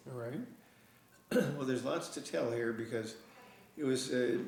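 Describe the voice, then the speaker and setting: A man talks at a medium pitch with fairly even intonation. Audible room echo and noticeable background noise surround him. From Florida. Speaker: oral history interviewee. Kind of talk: oral history interview. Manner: halting.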